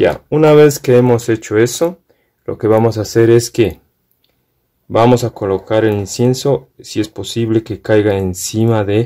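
With a dark, mellow tone, a man speaks at a fairly slow pace and fairly low pitch, showing ordinary pitch variation.

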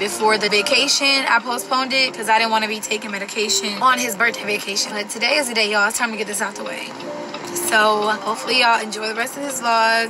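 Over background music, a woman speaks at a very fast pace with fairly even intonation. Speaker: vlogger. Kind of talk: casual vlog chat. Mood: nervous. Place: car. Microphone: phone near.

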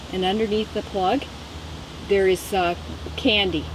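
Noticeable background noise sits behind a woman talking at a moderate pace, with a dry sound and no echo. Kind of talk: tutorial. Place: garden.

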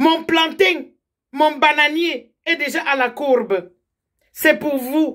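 A woman's high voice at a very slow pace, with long, frequent pauses, ordinary pitch variation and a quiet background. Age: 50s. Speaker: political commentator. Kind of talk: direct-to-camera political appeal. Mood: warm, earnest, exhorting. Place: home room. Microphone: phone near.

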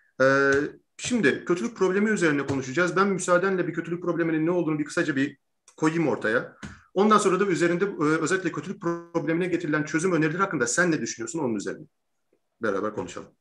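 Over faint background music, a man with a high pitch talks at a very fast pace with ordinary pitch variation. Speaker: interview host. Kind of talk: interview introduction and lecture-style explanation. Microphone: video call.

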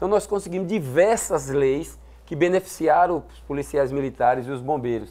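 A man talks at a moderate pace in a fairly high pitch, with ordinary pitch variation. His tone is dark and mellow, and his loudness swings widely. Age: 40s. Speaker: state legislator and military police captain; politician guest. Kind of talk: TV interview. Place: studio. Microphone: lapel.

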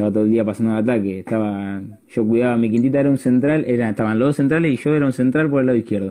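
A man's very fast speech at a very even loudness, with ordinary pitch variation, over a quiet background. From Argentina, La Plata; Argentina. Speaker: youth football player; interviewee. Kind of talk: casual chat. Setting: Instagram live video call. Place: home room. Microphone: earbuds.

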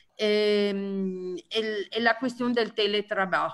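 In an Italian accent, a woman speaks at a fairly high pitch with ordinary pitch variation, and room echo is audible. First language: Italian (speaking Spanish). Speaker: trade union leader. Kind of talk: lecture. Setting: video call. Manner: halting.

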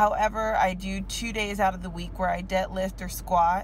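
A woman speaks over light background noise, her voice dry with no echo. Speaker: fitness vlogger. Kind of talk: casual vlog chat. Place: car. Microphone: phone near.

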